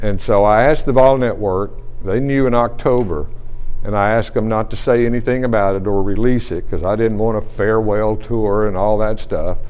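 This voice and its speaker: With audible room echo and noticeable background noise, a man talks at a fairly quick pace in a fairly low pitch, his intonation fairly even. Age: 60s. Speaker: retiring radio play-by-play broadcaster. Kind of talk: press conference. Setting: press conference with reporters.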